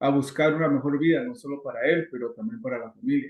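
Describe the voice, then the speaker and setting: Very wide pitch swings in a fairly high male voice. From Guatemala. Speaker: immigration consultant. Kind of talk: interview.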